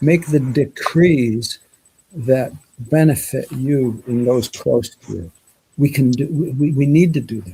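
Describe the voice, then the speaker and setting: A man speaks at medium pitch in a dark, mellow, somewhat breathy tone with ordinary pitch variation. His pace is fairly slow, and his loudness swings widely. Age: 70s. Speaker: live show host. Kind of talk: casual chat.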